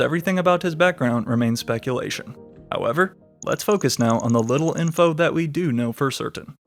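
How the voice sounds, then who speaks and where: A man's fairly quick, lively-intoned speech over music in the background. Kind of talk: music commentary narration.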